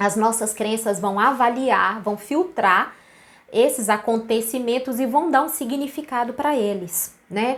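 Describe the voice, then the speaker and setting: A woman's ordinary speaking voice, fairly high in pitch, with ordinary pitch variation and a fairly slow pace. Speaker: naturopathic therapist. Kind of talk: live stream talk. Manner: casual.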